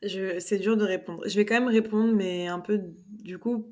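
The delivery is a flat monotone at a fairly slow pace. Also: woman. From Paris, France. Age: 20s. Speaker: fiction author. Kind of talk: casual interview chat.

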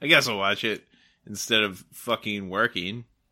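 A man's bright, sharp, playful tone, with fairly even intonation, on a very clean recording with a silent background. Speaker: guest. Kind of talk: casual banter chat. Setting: at home, drinking. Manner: joking, playful.

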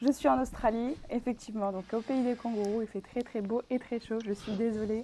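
Speech unfolds at a moderate tempo with fairly even intonation. Its tone is dark and mellow. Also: woman, fairly high pitch for a woman, hardly any pauses. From Paris region, France. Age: 20s. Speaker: podcast guest sharing love life. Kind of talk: personal testimony in interview. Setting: remote recording from home.

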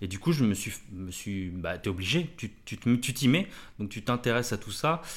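A man with a medium pitch talks at a moderate pace with lively intonation and big swings in loudness on a very clean recording with a silent background. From France, Blois (Loir-et-Cher). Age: 40s. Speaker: tattoo artist. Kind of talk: casual chat. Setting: studio, shared single mic. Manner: halting, many fillers.

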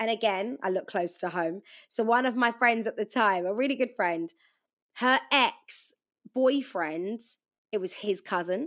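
An unremarkable speaking voice from a woman, fairly high-pitched with ordinary pitch variation, at a fairly slow pace on a very clean recording with a silent background. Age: 30s. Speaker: radio DJ. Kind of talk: casual chat.

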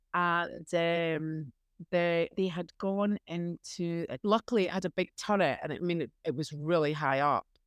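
In a Scottish accent, the speaker talks at a moderate pace with ordinary pitch variation, recorded with a dry, close sound, no echo and a quiet background. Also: woman, fairly low pitch for a woman. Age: 50s. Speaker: beekeeper. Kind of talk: casual interview.

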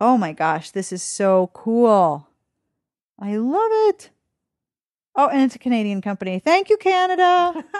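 Over a quiet background, a woman with a fairly high pitch speaks at a fairly slow pace, her pitch swinging very widely between long, frequent pauses. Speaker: podcast host. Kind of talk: casual interview. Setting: in person, same room.

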